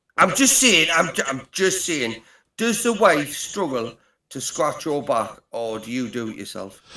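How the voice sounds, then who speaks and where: A man's fairly high, bright, sharp voice at a fairly slow pace, with very wide pitch swings and big swings in loudness. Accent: strong British. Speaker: livestream caller. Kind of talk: casual banter.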